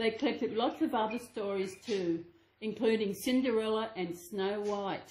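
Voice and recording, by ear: The speaker reads aloud in a natural voice.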